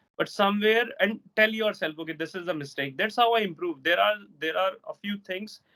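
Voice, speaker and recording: Speaking at a fairly quick pace, a man with a high pitch shows ordinary pitch variation. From India, Delhi. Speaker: English teacher. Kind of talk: casual interview chat. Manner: soft-spoken.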